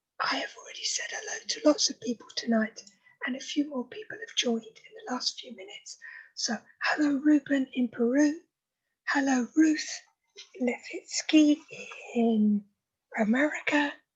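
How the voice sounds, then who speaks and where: A shouting woman, loud and high-pitched, at a moderate pace with long, frequent pauses and very wide pitch swings. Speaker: club president. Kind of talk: meeting opening remarks. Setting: video call. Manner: loud, shouting.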